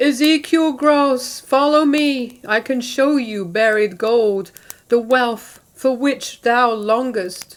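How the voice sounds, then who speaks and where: A female-sounding put-on character voice talks at a high pitch and a very slow pace. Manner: ghostly, eerie.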